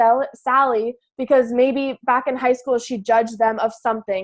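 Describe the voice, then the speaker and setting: The speaker has an animated tone against a quiet background. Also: woman. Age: 20s. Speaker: team leader coach. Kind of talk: motivational team training call. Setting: group call. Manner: fast.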